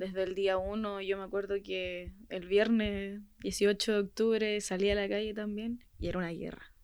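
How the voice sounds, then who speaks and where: Fairly slow pace, hardly any pauses, and a monotone, flat intonation. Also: woman, medium pitch for a woman. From Chile, Puente Alto. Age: young. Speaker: protest injury victim. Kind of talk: testimony.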